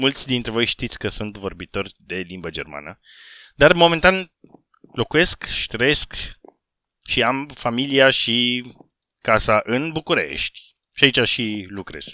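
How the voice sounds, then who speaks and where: With vocal fry and a bright, sharp tone, the speaker moves at a fairly slow pace through very wide pitch swings and big swings in loudness, leaving long, frequent pauses, on a very clean, dry, close recording with a silent background and no echo. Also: man, medium pitch for a man. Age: 30s. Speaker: gaming YouTuber. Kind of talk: casual vlog Q&A. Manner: animated.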